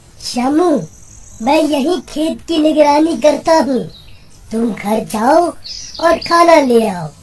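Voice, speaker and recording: A high-pitched voice speaks at a fairly slow pace. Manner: calm, reassuring, mildly teasing.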